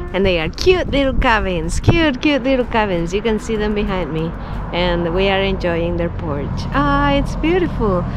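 Music plays behind a woman speaking at a fairly slow pace. The sound is dry, with no echo. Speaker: travel vlogger. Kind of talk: casual vlog chat. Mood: cheerful, excited. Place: home room. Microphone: phone near.

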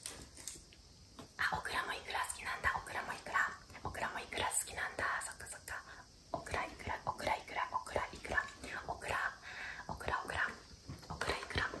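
Whispering, a woman keeps a moderate pace. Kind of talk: casual playful talk to a child. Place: home room. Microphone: phone near.

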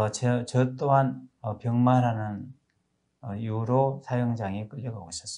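A man with a Korean accent, medium pitch, a dark, mellow tone and ordinary pitch variation against a quiet background. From South Korea. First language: Korean (speaking Hindi). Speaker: pastor. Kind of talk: testimony. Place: studio. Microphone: lapel.

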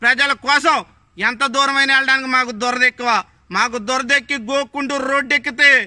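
A man projects a raised voice at an extremely high pitch, bright and sharp in tone, with flat, monotone intonation. The background is quiet and the sound dry, without echo. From Andhra Pradesh, Konaseema (Razole); Andhra Pradesh. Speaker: political party activist. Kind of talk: political warning speech to camera; angry political statement to camera. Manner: forceful. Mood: angry, warning. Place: garden. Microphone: phone near.

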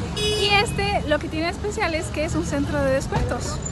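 There is clear music in the background, and the sound is dry with no echo. A woman speaks at a moderate pace. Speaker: travel vlogger. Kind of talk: casual vlog chat. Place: street. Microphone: phone near.

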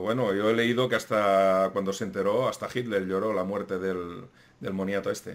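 A plain, everyday voice from a man, fairly low-pitched and fairly quick, with fairly even intonation. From Spain. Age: 40s. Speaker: YouTube history channel host. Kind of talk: casual interview chat. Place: home room.

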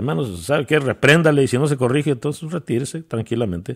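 Racing at a very fast pace, a man with a fairly high pitch talks with lively intonation. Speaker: preacher. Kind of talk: sermon. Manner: halting, repeating words as he searches for phrasing.

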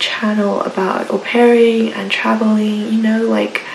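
A woman speaks amid audible room echo. Light background noise can be heard. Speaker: au pair. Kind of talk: casual talk to camera. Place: home room. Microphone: phone near.

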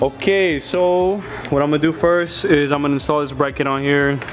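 Noticeable background noise sits behind a man's voice. He speaks at a moderate pace with ordinary pitch variation. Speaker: car hobbyist vlogger. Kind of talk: casual vlog chat. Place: garage. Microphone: phone near.

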